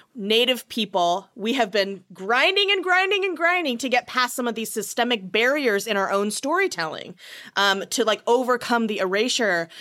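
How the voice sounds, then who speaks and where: A woman with an American accent speaks at a moderate pace with hardly any pauses. Her fairly high, bright and sharp voice swings very widely in pitch. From small US town. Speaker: comedy writer and actor. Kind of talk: casual chat.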